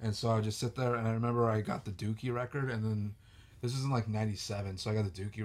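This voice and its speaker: With noticeable noise behind him, a man in an American accent speaks at a fairly quick pace. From California, now living in Georgia. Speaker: podcast guest, guitarist.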